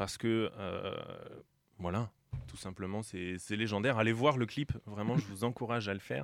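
A normal speaking voice at a moderate pace. The recording is very clean, with a silent background. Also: man. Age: 30s. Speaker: radio host. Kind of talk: casual chat.

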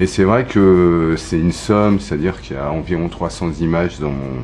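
Noticeable background noise sits behind the speaker. The delivery is fairly slow, with lively intonation. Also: man. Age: 40s. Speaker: photographer. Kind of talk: interview. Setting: recorded at home. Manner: halting, many hesitations.

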